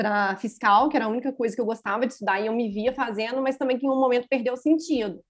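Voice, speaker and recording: A woman speaks very fast in a high voice, with ordinary pitch variation. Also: very clean recording, silent background. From Minas Gerais, Brazil (Juiz de Fora). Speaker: lawyer. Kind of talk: casual chat.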